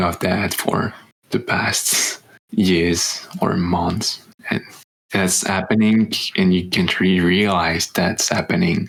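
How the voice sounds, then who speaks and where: Speaking with a French accent, a man with a very deep, low pitch talks at a very slow pace in a monotone, flat intonation with very even loudness. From France. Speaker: podcast co-host, exchange student. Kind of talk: casual chat. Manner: halting.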